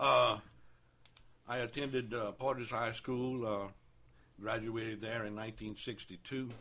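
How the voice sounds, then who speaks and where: Speaking at a fairly slow pace with long, frequent pauses, a man has a bright, sharp tone, medium pitch and fairly even intonation. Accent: Southern Louisiana. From Louisiana, New Roads. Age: 60s. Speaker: city council candidate. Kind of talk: radio interview. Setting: studio.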